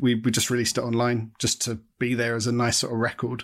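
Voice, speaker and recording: This man has a southern English accent. His pitch sits in the middle range. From southern England, Watford. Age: 30s. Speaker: artist and former band musician. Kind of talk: casual interview chat. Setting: video call.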